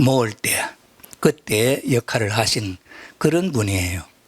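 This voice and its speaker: A man talks at a very slow pace in a dry, close sound with no echo. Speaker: retired pastor and lecturer on religion. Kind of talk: lecture. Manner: halting, many filler sounds.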